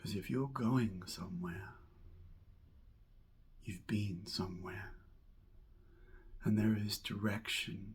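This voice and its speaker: A man talks very slowly with long, frequent pauses, in a soothing, somewhat breathy voice. His pitch is fairly low and his intonation fairly even. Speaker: hypnotherapist and mindfulness coach. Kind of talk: hypnotic guided visualization narration. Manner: slow, soothing.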